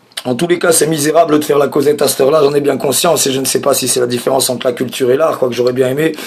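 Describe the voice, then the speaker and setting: Noticeable background noise surrounds a man talking in a fairly high pitch with fairly even intonation. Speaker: comedian. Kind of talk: stand-up.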